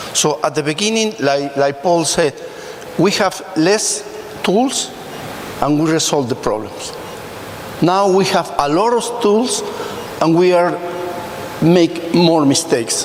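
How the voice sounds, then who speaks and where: A man speaks in a Spanish accent at a high pitch and a very slow pace, with lively intonation and long, frequent pauses. His loudness stays very even over noticeable background noise. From Mexico. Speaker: emergency physician. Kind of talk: audience question at a medical congress panel.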